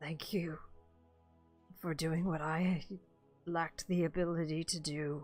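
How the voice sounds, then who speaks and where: With faint music in the background, a put-on character voice at middle pitch speaks fairly slowly in a monotone, flat intonation, leaving long, frequent pauses. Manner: very slow, solemn.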